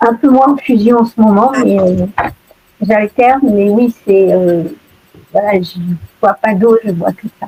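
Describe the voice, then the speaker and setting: A woman speaks at a very slow pace with long, frequent pauses, in a dry, close sound with no echo. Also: fairly high pitch for a woman, ordinary pitch variation. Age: 60s. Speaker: session participant. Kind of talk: casual group chat. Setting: video call. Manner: hesitant, many fillers.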